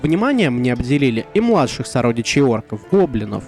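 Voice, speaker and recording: Moderate-paced speech from a man with very wide pitch swings, over music in the background. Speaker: tabletop RPG reviewer. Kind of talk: informative explainer to camera. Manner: energetic, forceful.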